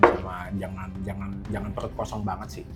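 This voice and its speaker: A man speaks with music in the background. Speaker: gamer and content creator. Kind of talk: casual chat.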